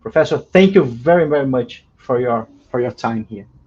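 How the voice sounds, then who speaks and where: A man talks with a Portuguese accent. His pace is moderate. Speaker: law professor and translator. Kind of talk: introductory remarks at academic webinar. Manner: halting, many repetitions and fillers.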